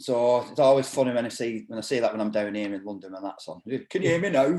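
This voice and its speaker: A man with a northern English accent talks at a very fast pace. His tone is dark and mellow, and his intonation is lively. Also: medium pitch for a man, big swings in loudness. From northern England. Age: 50s. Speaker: martial arts instructor and doorman. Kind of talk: casual chat.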